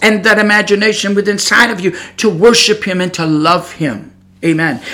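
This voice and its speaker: Against noticeable background noise and audible room echo, a man with an American accent speaks in a raised, projected voice. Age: 60s. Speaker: preacher. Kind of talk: sermon. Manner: halting.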